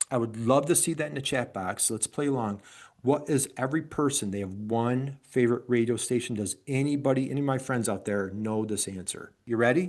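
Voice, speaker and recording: A man of medium pitch with an upstate New York accent, ordinary pitch variation and a fairly quick pace with hardly any pauses, over a quiet background. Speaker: business coach. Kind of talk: webinar presentation. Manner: animated.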